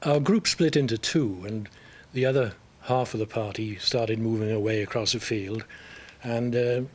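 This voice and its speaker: A man with a Welsh accent, medium pitch, ordinary pitch variation and a moderate pace. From South Wales. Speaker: game show contestant. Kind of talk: interview.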